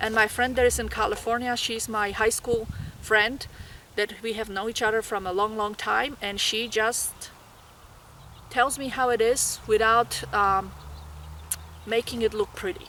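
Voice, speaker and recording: A woman's fairly high voice in a Polish accent, monotone and flat, with long, frequent pauses. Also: moderate pace. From Poland. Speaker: graduate nursing student. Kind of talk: tutorial.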